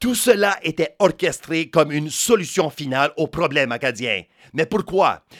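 At a moderate pace, a man speaks with fairly high pitch and very wide pitch swings. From New Brunswick, Canada. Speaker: podcast host. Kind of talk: scripted narration.

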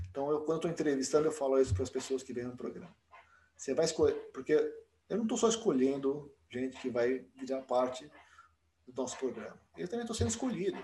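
A man speaks at a very fast pace in a fairly high pitch, with a dark, mellow tone and a somewhat breathy sound. His pitch swings very widely, and he leaves long, frequent pauses. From Brazil, São Paulo. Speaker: dentist and program director. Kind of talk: interview.

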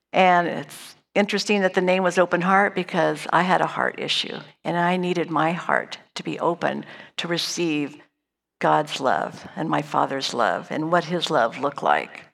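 Speaking at a moderate pace, a woman with a fairly low voice shows vocal fry and fairly even intonation. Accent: American. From Northern California. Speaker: church lay speaker. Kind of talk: personal testimony. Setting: church service stage.

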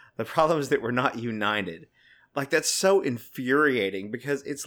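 On a very clean recording with a silent background, a man with a plain, everyday voice speaks at a medium pitch and fairly quick pace, with lively intonation. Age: 30s. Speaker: podcast co-host. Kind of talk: casual chat.

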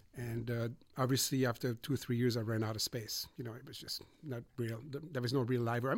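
In a European accent, a man at medium pitch talks very fast in a somewhat breathy voice. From Switzerland, Montreux. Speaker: audio engineer and musician. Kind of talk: casual conversation. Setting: recording studio.

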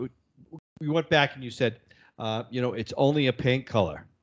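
A man talks at a fairly quick pace with a Massachusetts accent. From Boston area, Massachusetts. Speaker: podcast co-host. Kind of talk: casual banter. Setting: studio.

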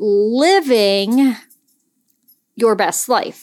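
A high-pitched woman speaks with lively intonation in an American accent. The recording is very clean, with a silent background. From Pennsylvania. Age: 40s. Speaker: life coach and podcast host. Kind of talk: reflective solo podcast talk.

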